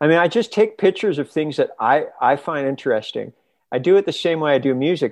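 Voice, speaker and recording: Against a quiet background, a man with a Canadian accent talks at a fairly quick pace, his fairly high pitch moving in lively intonation. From Canada. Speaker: electronic musician. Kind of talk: casual interview chat. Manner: halting, repeats words.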